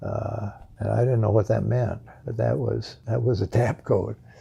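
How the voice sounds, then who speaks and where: Noticeable background noise is heard while the speaking keeps a moderate pace. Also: man. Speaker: war veteran, former fighter pilot and POW. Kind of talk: interview answer. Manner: hesitant.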